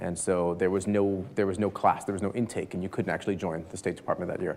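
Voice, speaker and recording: Very fast speech with fairly even intonation. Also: man. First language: Spanish. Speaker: business executive, panel speaker. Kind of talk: speech at a live business event. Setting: stage with audience. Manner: conversational, with frequent fillers and repetitions.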